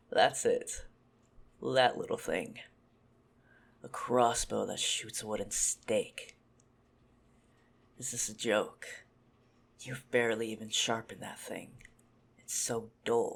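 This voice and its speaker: In a raspy, put-on character voice, a man talks at a fairly slow pace with long, frequent pauses. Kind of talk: ASMR roleplay. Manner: teasing, calm.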